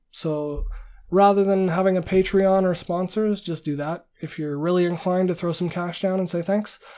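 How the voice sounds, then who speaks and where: A Canadian accent at a moderate pace on a very clean recording with a silent background. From Canada. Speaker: independent machine learning researcher and YouTuber. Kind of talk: casual monologue to camera. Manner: hesitant, many fillers.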